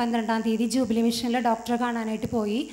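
A woman's high-pitched voice. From Kerala, Irinjalakuda; Kerala. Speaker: healing testimony giver. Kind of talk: testimony. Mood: earnest, grateful. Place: hall. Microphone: handheld.

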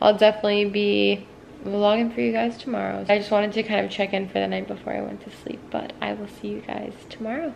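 A woman's fast, medium-pitched voice with vocal fry, a slightly mellow tone, little pitch movement, few pauses and faint background noise

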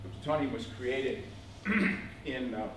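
A man talks amid noticeable background noise, his words carrying an audible room echo. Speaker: lecturer. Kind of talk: lecture. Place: classroom. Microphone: camera far.

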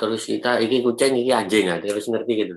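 At a medium pitch, a man talks at a fairly quick pace. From Indonesia. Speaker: biology lecturer. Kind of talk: webinar lecture. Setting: video call. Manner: casual. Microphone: video call.

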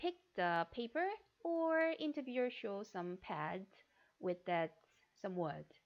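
In a Korean accent, a woman talks at a fairly slow pace and a fairly high pitch, with very wide pitch swings. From South Korea. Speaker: flight attendant interview coach. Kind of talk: tutorial. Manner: halting.

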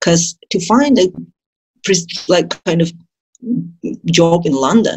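Somewhat breathy and fairly low-pitched, a woman talks at a fairly slow pace against a quiet background. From Azerbaijan, Baku; Azerbaijan. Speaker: dentist; interview guest. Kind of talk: interview. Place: home room. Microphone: video call.

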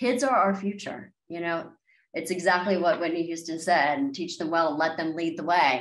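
A woman with an American accent, a fairly low pitch, and a moderate pace. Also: ordinary pitch variation, quiet background. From Maryland, near Washington D.C; Maryland. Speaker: country singer-songwriter; guest. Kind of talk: interview. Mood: warm, enthusiastic. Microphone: video call.

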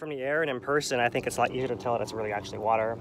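Over light background noise, a man speaks at a very fast pace with fairly even intonation and a dry sound with no echo. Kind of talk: casual commentary. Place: plane. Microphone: headset.

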